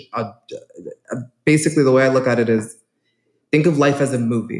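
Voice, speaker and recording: A man talks with a New York accent and ordinary pitch variation. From New York City, South Bronx. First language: Spanish. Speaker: real estate agent. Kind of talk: conference talk.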